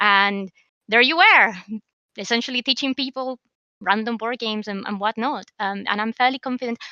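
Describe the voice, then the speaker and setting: In a dry, close sound with no echo, a woman speaks at a moderate pace with a bright, sharp tone. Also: fairly high pitch for a woman, ordinary pitch variation. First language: not English. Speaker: podcast co-host. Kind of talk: casual podcast chat. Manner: hesitant with many fillers.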